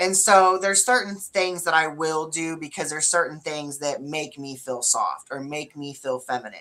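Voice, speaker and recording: A woman speaks in a very deep, low pitch with a bright, sharp tone and ordinary pitch variation. Her pace is moderate, with hardly any pauses and big swings in loudness. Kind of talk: casual chat.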